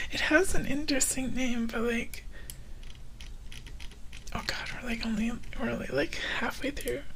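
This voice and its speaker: A soft-spoken man with an extremely high pitch, a fairly slow pace and long, frequent pauses, over noticeable background noise. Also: ordinary pitch variation. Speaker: VTuber. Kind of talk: ASMR story reading. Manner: soft-spoken, sleepy.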